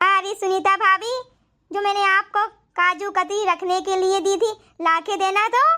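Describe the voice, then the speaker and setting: A woman does a cartoonish character voice at an extremely high pitch, with fairly even intonation and a moderate pace. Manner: fawning toward wealth, dismissive otherwise.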